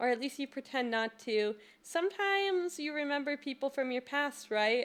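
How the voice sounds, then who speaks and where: A soft-spoken woman talks at a moderate pace. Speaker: streamer, gamer. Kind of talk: reading visual novel text aloud. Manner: soft-spoken, giggly.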